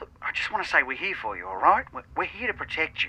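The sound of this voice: Putting on a character voice, a man talks fast at a fairly high pitch, his tone bright and sharp, with big pitch swings.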